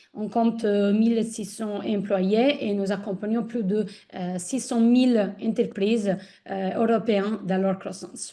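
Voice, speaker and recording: A woman's fairly high, dark, mellow voice with an Italian accent, very slow pace and a quiet background. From Italy. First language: Italian (speaking French). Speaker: corporate ESG manager. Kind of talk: webinar guest introduction. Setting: online webinar. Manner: hesitant, many fillers.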